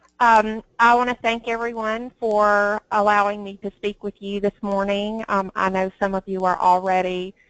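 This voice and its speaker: Monotone, flat intonation in a dry, close sound with no echo, over a quiet background. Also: woman. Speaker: HR recruiter. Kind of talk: webinar presentation.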